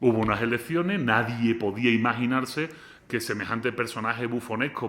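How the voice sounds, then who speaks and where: A man's voice, medium in pitch, moves along fairly quickly. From Spain. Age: 40s. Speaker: philosopher. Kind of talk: lecture. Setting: lecture hall with student audience. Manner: animated.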